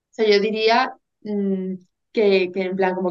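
Her intonation is fairly even and her pitch sits at a medium level. This woman has an unremarkable speaking voice. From Spain, Seville. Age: 20s. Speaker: university student sharing eating disorder recovery. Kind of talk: testimony.

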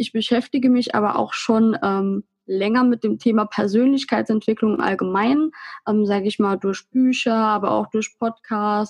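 In a dry, close recording with no echo, a woman with a normal speaking voice and a fairly high pitch talks at a moderate pace with fairly even intonation. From Saarland, Germany. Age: 20s. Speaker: Instagram blogger on self-love. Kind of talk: casual interview.

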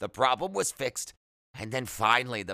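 Someone reads aloud in a natural voice with ordinary pitch variation. The background is quiet.

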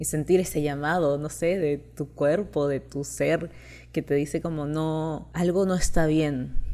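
Speaking with a Chilean accent, a woman talks. Her pace is very slow. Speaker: content creator. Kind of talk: casual monologue.

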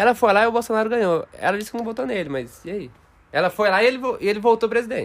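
A man speaks in a high voice. His pace is very fast. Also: ordinary pitch variation. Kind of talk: stand-up comedy, improvised banter and jokes.

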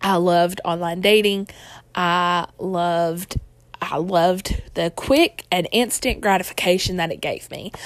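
A normal speaking voice, a woman at a medium pitch with fairly even intonation and a fairly slow pace. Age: 20s. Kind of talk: personal testimony vlog. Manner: casual, chatty with fillers.

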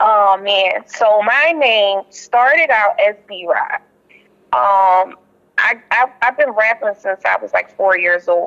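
A very slow, lively-intoned delivery in an American accent, bright and sharp in tone, with a dry, close sound and no echo. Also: woman, fairly high pitch for a woman. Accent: Philly accent with a country twist. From Philadelphia (Uptown). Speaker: rapper. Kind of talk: interview.

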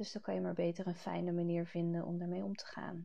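A woman talks at a fairly slow pace. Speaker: grief coach and podcast host. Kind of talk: solo podcast monologue. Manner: halting, many filler sounds; rambling, loses thread at times.

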